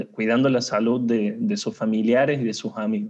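Using a dark, mellow tone, a man speaks slowly-ish, at a fairly slow pace, in a medium pitch. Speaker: HR consultant. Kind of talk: interview.

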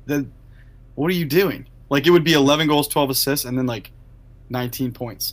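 A man with a fairly high pitch talks at a fairly quick pace, leaving long, frequent pauses. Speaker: podcast co-host. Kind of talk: casual chat. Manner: monotone.

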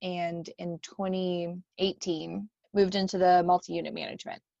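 An ordinary speaking voice with fairly even intonation comes through in a dry, close sound with no echo. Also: woman. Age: 30s. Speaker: podcast co-host and education center manager. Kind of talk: casual chat.

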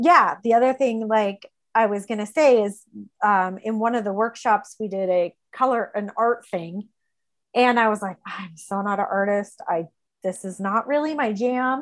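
A woman uses a normal speaking voice at a moderate pace. Her pitch is fairly high, with ordinary pitch variation. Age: 40s. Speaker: teaching assistant sharing her recovery story. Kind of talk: personal testimony in an interview. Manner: frequent filler words (um, like).

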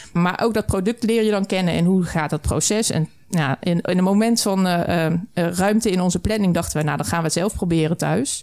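This woman has an ordinary speaking voice of medium pitch with ordinary variation. She talks at a fairly quick pace with very even loudness. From southern Netherlands. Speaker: brewery co-founder. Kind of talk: casual interview. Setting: studio.

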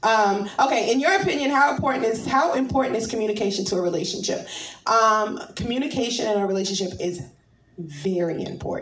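Animated woman's voice with lively intonation, a fairly high pitch and a fairly quick pace, audible room echo. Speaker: podcast host. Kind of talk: casual chat.

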